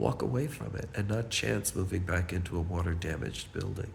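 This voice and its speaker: A man's very deep, low voice with vocal fry, lively intonation, a moderate pace and audible room echo. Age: 70s. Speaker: building resident. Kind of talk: personal testimony.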